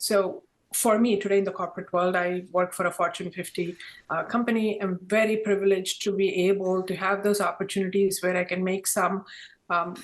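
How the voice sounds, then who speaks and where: A woman with an Indian accent and a medium pitch speaks in a monotone, flat intonation at a fairly quick pace, with long, frequent pauses. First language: Indian language. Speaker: corporate diversity professional. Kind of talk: panel discussion.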